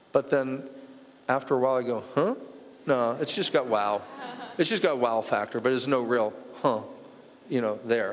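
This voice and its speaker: A man's medium-pitched voice with an American accent and ordinary pitch variation, long, frequent pauses, and noticeable background noise. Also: moderate pace. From Washington, DC. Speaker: art collector. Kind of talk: gallery talk. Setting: museum gallery with audience.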